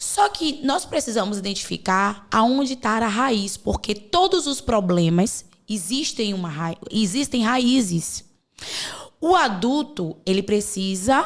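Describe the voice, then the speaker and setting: Very slowly and with very wide pitch swings, a woman speaks at a fairly high pitch with a Bahian accent. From Bahia, Brazil. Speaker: podcast host and mentor. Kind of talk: podcast conversation.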